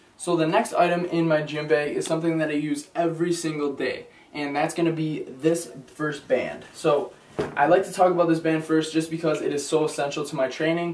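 A man's fairly quick, monotone speech with audible room echo and light background noise. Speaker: fitness vlogger. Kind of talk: casual vlog product review. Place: home room. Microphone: camera far.

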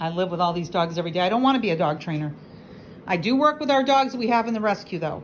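With light background noise behind her, a woman at medium pitch talks at a very fast pace in an animated tone with lively intonation. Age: 60s. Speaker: dog rescue operator. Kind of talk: casual vlog rant. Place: home room. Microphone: phone near.

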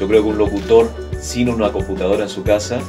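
A man talks at a fairly quick pace. Clear music plays in the background. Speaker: radio and TV announcer, voice-over professional with a home recording studio. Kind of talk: interview answer about his career. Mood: relaxed, friendly. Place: booth. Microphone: studio mic.

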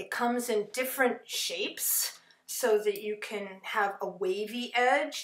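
Audible room echo surrounds the speech. A woman talks with ordinary pitch variation. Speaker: stained glass instructor. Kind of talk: lecture. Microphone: webcam.

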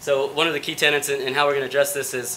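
A man is talking with light noise in the background. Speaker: presenter. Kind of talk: conference talk. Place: stage.

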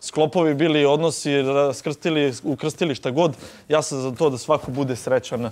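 The intonation is fairly even. The speaker is a man. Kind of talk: group discussion statement. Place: home room.

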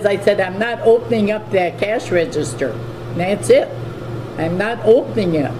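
A woman keeps a moderate pace while noticeable background noise is heard. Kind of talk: interview answer. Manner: elderly woman's aged, firm voice. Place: shop.

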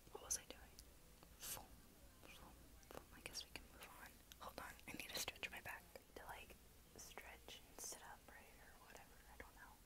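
A woman whispers at a moderate pace, with long pauses coming often. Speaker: vlogger. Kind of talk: casual vlog chat. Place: home room. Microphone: earbuds.

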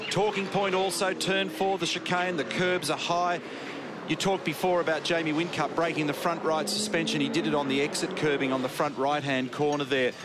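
A man speaks at a fairly quick pace with a fairly high pitch and ordinary pitch variation, his tone animated. His loudness stays very even, with noticeable background noise behind him. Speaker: motorsport TV commentator. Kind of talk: race commentary, analytical track-guide and incident replay voiceover. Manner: animated, fluent broadcaster delivery, briskly explaining.

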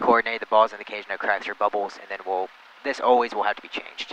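A man talks at a very fast pace with fairly even intonation. The sound is dry with no echo, over light background noise. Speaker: flight instructor. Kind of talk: instruction. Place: plane. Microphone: headset.

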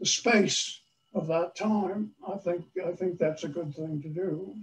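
The man's pitch is high. He talks at a fairly slow pace. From US Northeast, Long Island, New York. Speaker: priest. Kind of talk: sermon. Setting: church. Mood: warm, earnest. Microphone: video call.

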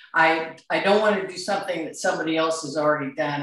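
Audible room echo surrounds the voice over a quiet background. The pitch varies in an ordinary way. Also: woman. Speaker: demonstrating artist. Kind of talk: presentation talk. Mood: warm, grateful. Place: home room. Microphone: video call.

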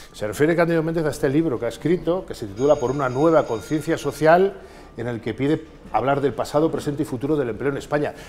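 A man at a very fast pace, with ordinary pitch variation and light background noise. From Spain. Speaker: political interviewer. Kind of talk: interview. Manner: formal. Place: office. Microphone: lapel.

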